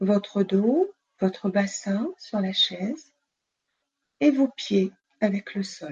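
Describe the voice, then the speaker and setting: Somewhat breathy, a woman speaks very slowly with long, frequent pauses. Her tone is calm and soothing, with ordinary pitch variation. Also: medium pitch for a woman. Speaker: nurse and sophrologist. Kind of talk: guided relaxation session; interview. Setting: live video stream. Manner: calm, soothing.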